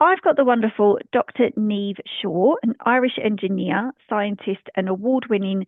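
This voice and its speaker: A woman talks in a normal speaking voice at a fairly high pitch. Her pace is moderate and her pitch varies in an ordinary way. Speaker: podcast host. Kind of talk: podcast introduction.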